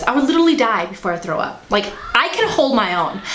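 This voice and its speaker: Noticeable background noise and audible room echo surround a woman's voice. She speaks in an animated tone at a fairly quick pace. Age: 20s. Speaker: vlogger. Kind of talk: casual vlog chat. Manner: loud.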